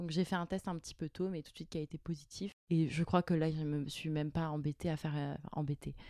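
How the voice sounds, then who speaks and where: A woman talks at a fairly quick pace in a very deep, low pitch, with a dark, mellow tone, monotone, flat intonation and big swings in loudness. The sound is dry and close with no echo, on a very clean recording with a silent background. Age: 30s. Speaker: mother of two. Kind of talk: casual chat. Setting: chalet bedroom recording.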